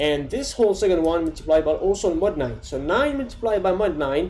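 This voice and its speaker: A man speaks in a high voice with lively intonation and a non-native accent. Noticeable background noise runs underneath. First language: not English. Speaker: coding tutorial creator. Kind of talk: tutorial. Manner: casual, with fillers and restarts.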